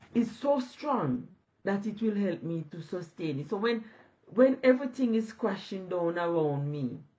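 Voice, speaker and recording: Somewhat breathy, a woman at medium pitch speaks with very wide pitch swings. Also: moderate pace. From Jamaica. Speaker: online business owner. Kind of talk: interview on a live stream.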